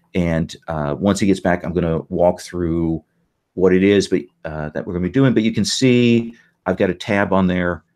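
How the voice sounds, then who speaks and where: A man with an Indiana accent talks at a moderate pace in a very deep, low voice. His pitch varies in an ordinary way, and the background is quiet. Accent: Hoosier. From Indiana, US Midwest. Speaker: game master. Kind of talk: game session briefing. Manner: halting, many fillers.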